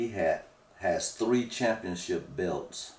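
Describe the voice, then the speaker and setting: The speech is very slow and somewhat breathy. Its pitch variation is ordinary. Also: man. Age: 60s. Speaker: retired firefighter. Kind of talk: interview.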